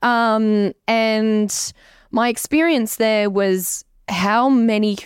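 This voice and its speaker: Dry and close with no echo, a woman's fairly high voice with an Australian accent shows ordinary pitch variation. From Canberra, Australia. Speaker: social media creator. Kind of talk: casual interview.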